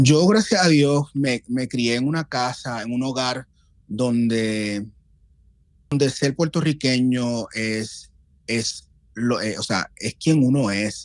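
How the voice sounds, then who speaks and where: A man talks very slowly at a medium pitch. His pitch varies in an ordinary way against a quiet background. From Puerto Rico (Loíza). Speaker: guest on a podcast. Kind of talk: casual chat. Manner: halting, repeats words.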